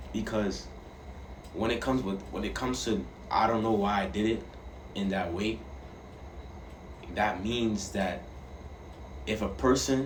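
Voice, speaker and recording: There is audible room echo around a man speaking in a fairly low pitch. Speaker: vlogger. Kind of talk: casual monologue. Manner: halting.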